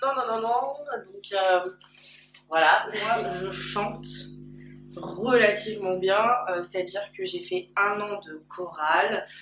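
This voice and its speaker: With music in the background, a woman of medium pitch speaks at a very slow pace with long, frequent pauses, ordinary pitch variation, and big swings in loudness. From Paris region. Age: 20s. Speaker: YouTuber. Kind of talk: personal vlog. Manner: very loud. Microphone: camcorder built-in mic.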